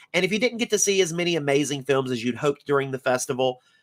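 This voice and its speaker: A man with a Southern US accent uses a playful, upbeat tone, a fairly high pitch and very wide pitch swings, in a dry, close sound with no echo. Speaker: film festival director. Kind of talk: scripted announcement video.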